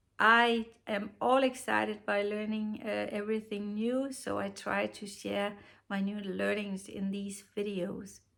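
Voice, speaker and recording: A woman talks at a fairly slow pace with a Danish accent. Her pitch is medium and her intonation fairly even. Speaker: knitting podcaster. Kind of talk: casual tutorial. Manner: halting, many fillers.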